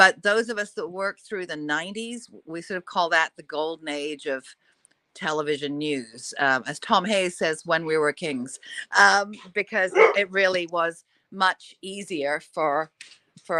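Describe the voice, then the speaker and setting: Bright and sharp in tone, a woman's fairly low voice moves at a moderate pace with ordinary pitch variation and big swings in loudness, recorded very cleanly against a silent background in a dry, close space with no echo. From Australia. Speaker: TV news anchor. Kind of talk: interview.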